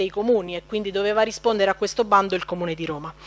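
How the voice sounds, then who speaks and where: A woman is speaking. Her intonation stays fairly even. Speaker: local councillor. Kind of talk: formal council speech. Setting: council chamber. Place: hall. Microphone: podium.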